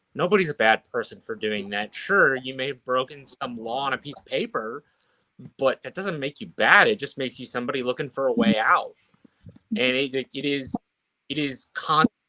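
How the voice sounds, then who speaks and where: A man's fairly high voice, an ordinary speaking voice, at a moderate pace with lively intonation and big swings in loudness. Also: dry, close sound with no echo. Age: 20s. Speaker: political worker. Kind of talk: live online panel discussion.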